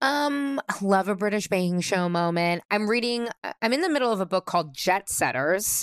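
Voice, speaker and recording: At a moderate pace and with hardly any pauses, a woman with an unremarkable speaking voice talks in a medium pitch with lively intonation. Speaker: podcast host. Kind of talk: casual chat.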